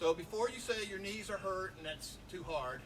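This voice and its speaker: Through audible room echo and noticeable background noise, a man with a high voice speaks at a moderate pace. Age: 50s. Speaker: martial arts instructor. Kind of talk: tutorial. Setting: outdoors.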